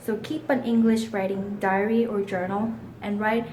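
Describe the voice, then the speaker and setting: A woman with a Korean accent speaks at a fairly high pitch and moderate pace. Audible room echo and noticeable background noise fill the recording. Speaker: English learner giving tips. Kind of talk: prepared presentation.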